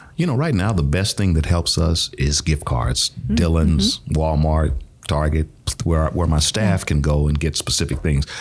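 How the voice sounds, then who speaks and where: Through noticeable background noise, a man with an American accent speaks at a fairly slow pace in a very deep, low pitch, with ordinary pitch variation and very even loudness. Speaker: nonprofit executive director, podcast guest. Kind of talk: casual, warm conversational.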